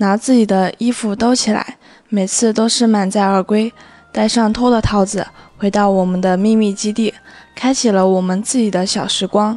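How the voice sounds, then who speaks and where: Speaking at a moderate pace, a woman holds a fairly high, monotone, flat voice. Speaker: recent high school graduate.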